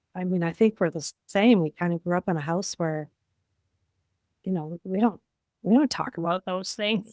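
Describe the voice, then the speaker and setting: The woman speaks at a moderate pace in a medium pitch with ordinary pitch variation. Long pauses come often. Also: dry, close sound with no echo. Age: 60s. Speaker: life coach. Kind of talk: casual chat.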